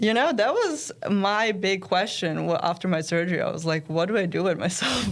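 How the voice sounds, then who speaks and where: This woman talks at a moderate pace with a fairly low pitch. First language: German and Serbian. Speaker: college tennis player. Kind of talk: casual interview.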